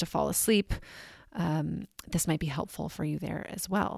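A woman speaks in a plain, everyday voice with a fairly low pitch. The recording is very clean, with a silent background. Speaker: podcast host. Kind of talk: guided meditation. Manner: slow, calm, soothing; gentle, measured pacing with pauses.

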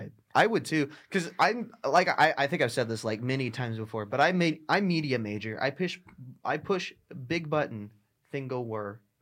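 With a plain, everyday voice, a man speaks at a moderate pace in a fairly high pitch and with lively intonation. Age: 20s. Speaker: student podcast host. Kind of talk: casual chat. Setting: studio.

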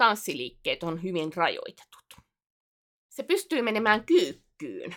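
On a very clean recording with a silent background, a woman's fairly high voice, edged with vocal fry, moves very slowly through very wide pitch swings. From South Ostrobothnia, Finland (Alajärvi area). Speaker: podcast co-host and video streamer. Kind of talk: casual chat. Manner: frequent hesitations and filler sounds.

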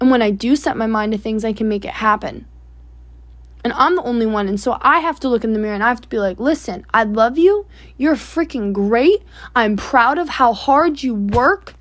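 A woman speaks with lively intonation at a moderate pace and a fairly high pitch. She has an unremarkable speaking voice. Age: 20s. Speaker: solo podcast host, young entrepreneur. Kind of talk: personal monologue. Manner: casual, filler-heavy.

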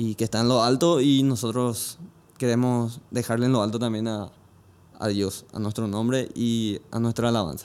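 In a normal speaking voice, a man talks at a moderate pace and medium pitch with fairly even intonation, on a very clean recording with a silent background. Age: 20s. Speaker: church musician and band member. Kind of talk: casual interview chat.

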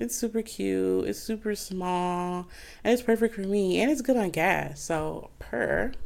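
In a very clean recording with a silent background, a woman with an American accent talks at a fairly slow pace in an animated tone. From Flint, Michigan, US. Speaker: podcast host. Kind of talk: casual chat.

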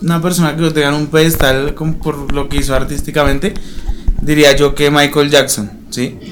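Noticeable background noise and audible room echo around a man with a fairly high pitch at a moderate pace. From Colombia, Bogotá. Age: 20s. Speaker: journalism student and rapper. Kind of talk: interview.

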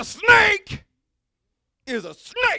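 A high-pitched, put-on character voice comes through raised and projected.

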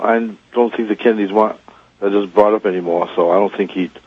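A man's fairly low voice with fairly even intonation, a normal speaking voice. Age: 50s. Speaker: gunsmith, radio caller. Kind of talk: call-in conversation.

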